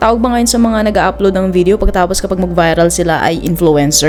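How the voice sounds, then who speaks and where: A woman talking at a fairly quick pace with ordinary pitch variation, music in the background. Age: 20s. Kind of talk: personal vlog narration.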